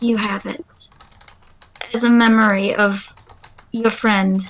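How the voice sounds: A woman puts on a shaky character voice at a fairly high pitch. She talks at a fairly slow pace with monotone, flat intonation.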